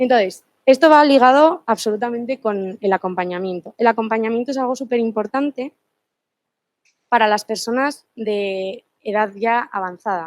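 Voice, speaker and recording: With a dry, close sound and no echo, a woman speaks in an ordinary speaking voice, fairly high-pitched with ordinary pitch variation, at a moderate pace. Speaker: law student presenting a book. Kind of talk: seminar presentation. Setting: seminar room with live and online audience.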